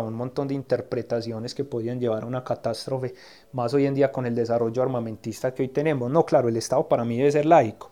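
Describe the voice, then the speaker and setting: His intonation stays fairly even, with a dark, mellow tone at a medium pitch. The man is heard over a quiet background. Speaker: political scientist. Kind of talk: interview. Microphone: recorded on his cellphone, clean sound.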